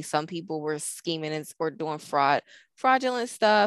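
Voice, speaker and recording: In a very clean recording with a silent background, a woman talks fairly quickly with an American accent. Her fairly low voice has lively intonation and is an ordinary speaking voice. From northern US. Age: 30s. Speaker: podcast co-host. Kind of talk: casual chat.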